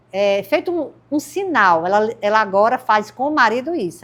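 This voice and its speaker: On a very clean recording with a silent background, a woman speaks at a fairly slow pace. She has an unremarkable speaking voice with lively intonation. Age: 60s. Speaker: podcast host. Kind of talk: interview podcast.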